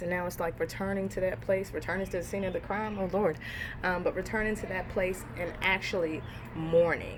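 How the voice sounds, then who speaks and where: A woman at a medium pitch and moderate pace, fairly even in intonation, with audible room echo and noticeable background noise. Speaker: tarot reader. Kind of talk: tarot reading. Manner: casual, filler-heavy.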